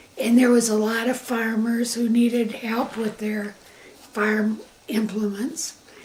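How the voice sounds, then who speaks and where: With a Michigan accent, the speaker talks at a fairly slow pace in a monotone, flat intonation while noticeable background noise plays underneath. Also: woman, fairly high pitch for a woman. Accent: US Midwest (Michigan). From Michigan, Grand Rapids area. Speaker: interviewee recounting life story. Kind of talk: family oral history interview.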